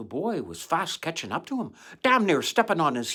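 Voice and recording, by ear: The clip is someone reading aloud. The voice is natural.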